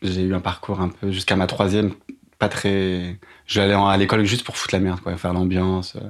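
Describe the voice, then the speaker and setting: Recorded very cleanly against a silent background, a man with a very deep, low pitch speaks at a moderate pace in a monotone, flat intonation. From Paris. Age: 30s. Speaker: podcast guest sharing career change story. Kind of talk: personal testimony. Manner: hesitant, frequent fillers.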